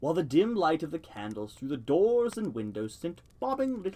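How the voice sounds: The clip features a natural reading voice.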